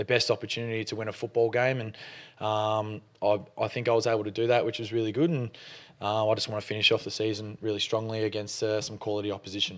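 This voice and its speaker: Against a quiet background, a man with an Australian accent talks at a very fast pace in a fairly low, monotone, flat voice. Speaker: college football punter. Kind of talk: press conference interview answer.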